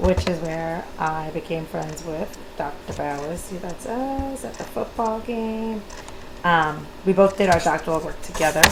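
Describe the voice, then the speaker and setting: A woman with an American accent, a fairly low pitch and ordinary pitch variation, against noticeable background noise. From New York, Long Island. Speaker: educator, instructor. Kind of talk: recorded course introduction (screencast). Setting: screencast recording.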